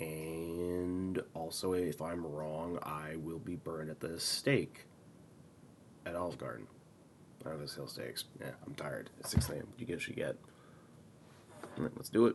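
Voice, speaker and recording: A soft-spoken man with a very deep, low pitch, ordinary pitch variation, and long, frequent pauses. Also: moderate pace, big swings in loudness. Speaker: gaming video creator. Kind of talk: live reaction commentary. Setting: home recording at 6 AM. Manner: soft-spoken, talking quietly.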